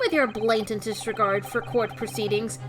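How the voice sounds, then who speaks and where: A put-on character voice sounds nasal and fairly high in pitch. Clear music plays in the background. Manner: pompous, scolding.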